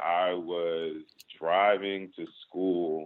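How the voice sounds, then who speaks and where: A man talks with an American accent. His pitch is very deep and low. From Chicago, South Side. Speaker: startup co-founder and investor. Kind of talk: interview. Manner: casual.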